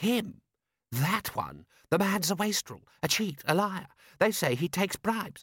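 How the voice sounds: In a very clean recording with a silent background, a man puts on a character voice, slow and high-pitched with a slightly husky edge and big pitch swings.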